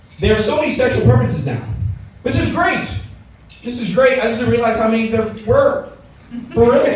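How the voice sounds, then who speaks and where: A man with an American accent speaks in an animated tone at a fairly quick pace. Noticeable background noise and audible room echo surround his voice. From Los Angeles, US West Coast. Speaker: stand-up comedian. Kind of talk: stand-up. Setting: stage with audience.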